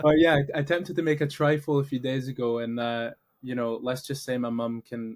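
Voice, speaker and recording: Fairly quick, fairly even speech in a Glaswegian accent. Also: man. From Scotland, Glasgow area. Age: 20s. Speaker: entrepreneur, founder of a meetup community. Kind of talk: podcast interview.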